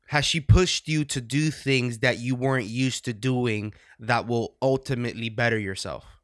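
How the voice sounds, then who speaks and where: Over a very clean recording with a silent background, a man with an American accent speaks at medium pitch and a moderate pace. He has a normal speaking voice with fairly even intonation. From New Jersey. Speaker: podcast host. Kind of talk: casual chat, unscripted podcast.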